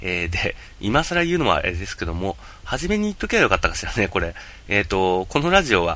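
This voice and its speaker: A man's bright, sharp voice at a fairly quick pace, with very wide pitch swings. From Japan, Yamagata. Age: 30s. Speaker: podcast host and game video streamer. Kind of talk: casual solo podcast monologue. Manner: hesitant, many fillers.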